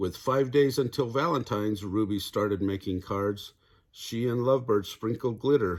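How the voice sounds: Pitch varies in an ordinary way in this natural reading voice.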